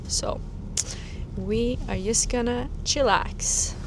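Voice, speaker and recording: A woman with a non-native accent speaks at a very slow pace, with audible room echo and noticeable background noise. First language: not English. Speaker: travel vlogger. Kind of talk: travel vlog chat.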